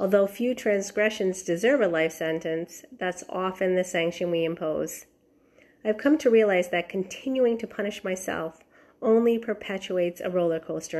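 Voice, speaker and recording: This woman has a medium pitch. She keeps a moderate pace with ordinary pitch variation. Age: 50s. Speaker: health and life coach. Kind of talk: podcast monologue. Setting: outdoors in backyard.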